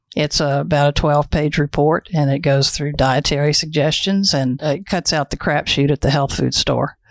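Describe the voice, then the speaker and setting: A woman's very deep, low voice in a monotone, flat delivery, with hardly any pauses and very even loudness, in a dry, close sound with no echo against a quiet background. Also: moderate pace. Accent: Texas. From Texas. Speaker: naturopath. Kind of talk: podcast interview.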